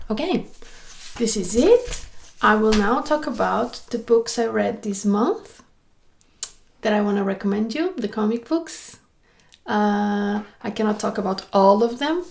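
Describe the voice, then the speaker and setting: Somewhat breathy speech moves at a fairly slow pace with ordinary pitch variation and long, frequent pauses. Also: woman. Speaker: illustrator and comic artist vlogger. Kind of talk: casual vlog talk about books. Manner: animated.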